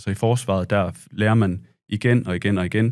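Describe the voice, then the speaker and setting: A man's fairly low voice with fairly even intonation against a quiet background. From Denmark. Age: 30s. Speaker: war veteran and journalist. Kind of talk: casual interview. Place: studio. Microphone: studio mic.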